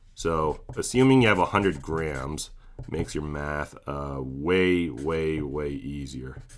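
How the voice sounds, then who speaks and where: A man's very deep, low voice with ordinary pitch variation at a very slow pace. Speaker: chemistry teacher. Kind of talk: tutorial. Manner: casual with filler words.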